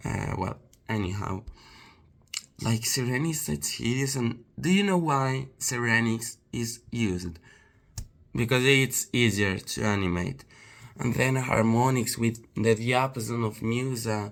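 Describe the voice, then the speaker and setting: Man with a non-native accent and medium pitch, fairly slow pace and ordinary pitch variation. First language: not English. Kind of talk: casual talk to camera. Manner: hesitant, many fillers.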